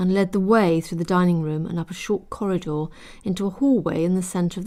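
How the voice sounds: The reading voice sounds natural, and the intonation stays fairly even.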